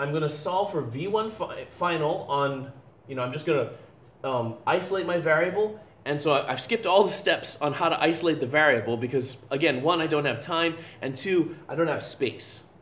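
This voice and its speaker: Amid audible room echo and noticeable background noise, a man talks with lively intonation in a fairly high voice. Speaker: physics teacher. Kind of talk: lecture. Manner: fast; halting.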